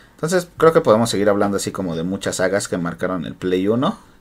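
A man with a plain, everyday voice, fairly low in pitch, lively intonation and a fairly quick pace. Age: 20s. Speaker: podcast host. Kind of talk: casual chat.

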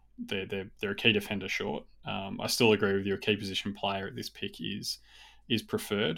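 On a very clean recording with a silent background, a man delivers his words fairly quickly. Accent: Australian. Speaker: AFL podcast co-host. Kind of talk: casual chat.

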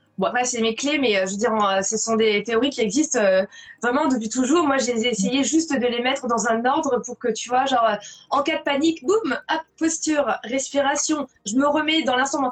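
A woman speaks at a moderate pace in a high pitch with ordinary pitch variation. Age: 40s. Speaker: blogger and author on well-being. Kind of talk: live interview. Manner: repeats words when starting sentences.

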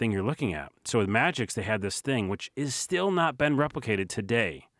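The delivery is very fast, with lively intonation. The recording is very clean with a silent background and a dry, close sound with no echo. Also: man. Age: 40s. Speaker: video creator. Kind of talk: casual chat.

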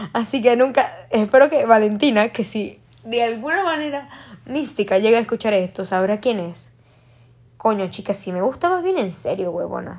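Fairly quick, fairly high-pitched speech from a woman. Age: young. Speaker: podcaster. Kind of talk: casual monologue. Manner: animated.

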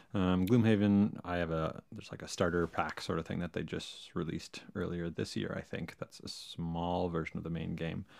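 At a moderate pace with hardly any pauses, a man speaks in a very deep, low pitch with fairly even intonation. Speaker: host's husband. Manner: joking.

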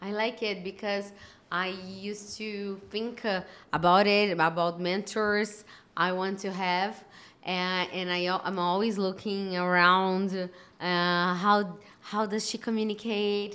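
With a Portuguese accent, the voice has a bright, sharp tone and moves at a very slow pace in a flat monotone. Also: woman, medium pitch for a woman. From Brazil. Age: 30s. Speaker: podcast host. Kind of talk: interview. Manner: halting.

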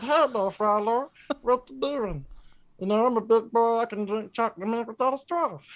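Putting on a character voice with a Southern accent, a woman speaks at a moderate pace in a fairly high pitch.

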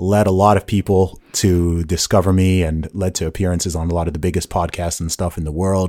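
A man's very deep, low voice with a dark, mellow, relaxed tone, flat monotone intonation and moderate pace, with an American accent. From England and Saudi Arabia, Nigerian family. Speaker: rapper and podcast host. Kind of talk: casual interview conversation. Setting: video call from Southampton, England. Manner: relaxed, conversational, laughs often.

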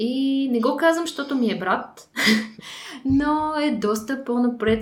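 A woman at a very slow pace. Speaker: podcast host. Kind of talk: casual interview. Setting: studio.

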